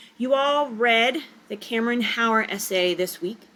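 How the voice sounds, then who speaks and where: A woman speaks in a fairly high voice with ordinary pitch variation. Background noise is noticeable. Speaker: writing teacher. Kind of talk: recorded lecture. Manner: fast.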